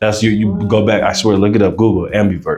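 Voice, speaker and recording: An American accent marks this man's fairly low-pitched voice as he speaks at a very fast pace. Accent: US English, hip hop vernacular. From Aurora, Colorado. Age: 20s. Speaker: rapper. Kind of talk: podcast interview. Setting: library. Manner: casual, halting with fillers.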